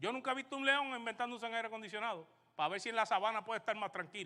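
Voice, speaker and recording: Speaking with a Puerto Rican accent, a man projects a raised voice with a bright, sharp tone. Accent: Caribbean Spanish, Puerto Rican. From Puerto Rico. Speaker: pastor. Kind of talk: sermon.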